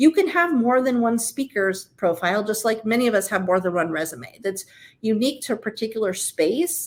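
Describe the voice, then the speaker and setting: Recorded very cleanly against a silent background, a woman at a medium pitch speaks at a fairly quick pace. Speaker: marketing manager, guest presenter. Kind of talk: presentation. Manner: fast.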